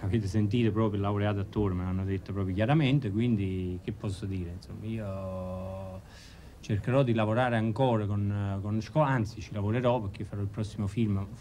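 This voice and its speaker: This man has a fairly low pitch and a dark, mellow tone, with fairly even intonation. He talks at a fairly quick pace over light background noise. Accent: Neapolitan. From Naples area, Italy. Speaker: actor and comedian. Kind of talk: interview answer. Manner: joking, playful. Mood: playful, joking. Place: home room.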